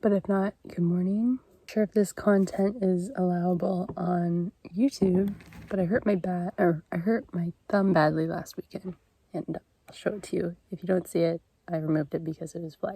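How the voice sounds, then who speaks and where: Speaking at a moderate pace, a woman has a medium-pitched, somewhat breathy voice with a dark, mellow tone and fairly even intonation, recorded with a dry, close sound and no echo. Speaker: camping vlogger. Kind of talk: casual vlog talk to camera. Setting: outdoors at a campsite.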